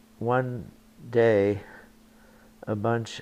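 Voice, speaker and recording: On a very clean recording with a silent background, a man speaks at a fairly low pitch in a dark, mellow tone with monotone, flat intonation. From Germany, Berlin; later London, England. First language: German. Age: 80s+. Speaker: Holocaust refugee, grandparent. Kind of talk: documentary interview testimony.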